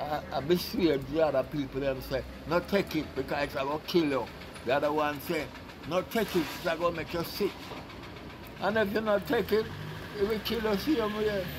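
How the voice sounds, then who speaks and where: A man's high-pitched voice with lively intonation and long, frequent pauses, over noticeable background noise. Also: moderate pace. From Jamaica. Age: 80s+. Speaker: board maker. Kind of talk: interview answer. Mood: earnest, pleading. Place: street.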